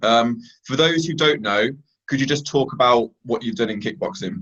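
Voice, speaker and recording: This man has a normal speaking voice, medium in pitch, moving at a moderate pace with lively intonation. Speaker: MMA interviewer. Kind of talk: interview.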